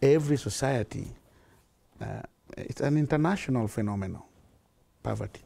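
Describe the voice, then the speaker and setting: A man's dark, mellow tone at medium pitch, with ordinary pitch variation. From Kenya. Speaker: charity founder; interviewee. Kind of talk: interview. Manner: halting, with fillers. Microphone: lapel.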